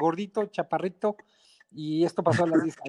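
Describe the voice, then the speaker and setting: In a high voice, a man speaks with fairly even intonation, the sound dry and close with no echo. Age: 50s. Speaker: mountaineer. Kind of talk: interview.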